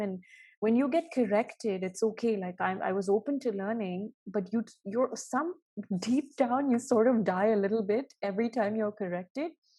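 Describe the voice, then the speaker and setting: On a very clean recording with a silent background, a woman speaks at a moderate pace in a fairly high pitch, somewhat breathy, with a dark, mellow tone and ordinary pitch variation. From Bahrain, Indian family from Odisha. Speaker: journalist. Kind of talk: interview conversation. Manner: hesitant, many fillers.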